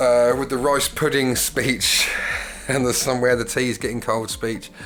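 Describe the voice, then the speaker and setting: A man's medium-pitched voice at a moderate pace, monotone and flat in intonation, with music in the background. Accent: British. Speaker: YouTuber and singer. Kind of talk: casual solo commentary. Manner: hesitant, with fillers.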